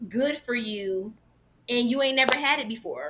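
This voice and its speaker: A woman raises and projects her voice. Background noise is noticeable. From Jamaican background. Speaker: vegan content creator. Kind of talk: casual chat. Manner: animated.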